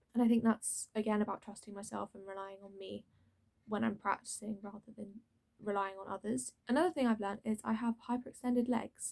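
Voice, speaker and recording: A woman talks at a fairly quick pace in a normal speaking voice. Her pitch is fairly high, with ordinary pitch variation. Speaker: drama school student. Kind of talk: casual talk to camera.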